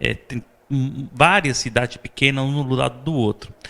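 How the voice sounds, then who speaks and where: With vocal fry and a bright, sharp tone, a man talks at a moderate pace and medium pitch. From Sicily, Italy. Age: 40s. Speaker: vice-consul and chef. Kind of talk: interview. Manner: halting, many fillers.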